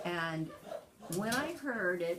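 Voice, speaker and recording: A woman speaks with a General American accent and fairly low pitch. There's audible room echo and noticeable background noise. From California. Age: 60s. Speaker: grandparent being interviewed. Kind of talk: interview.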